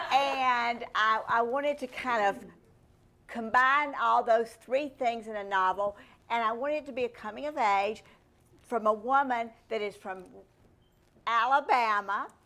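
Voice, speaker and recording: A woman's fairly high voice with a Southern US accent, bright, sharp tone, ordinary pitch variation, a fairly slow pace, and long, frequent pauses. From US South. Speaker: novelist. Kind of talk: interview.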